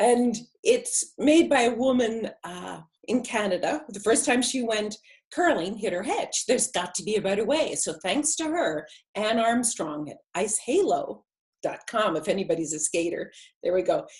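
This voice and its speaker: At a moderate pace, a woman's fairly high, somewhat breathy voice makes very wide pitch swings. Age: 60s. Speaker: dream expert. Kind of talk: casual interview chat.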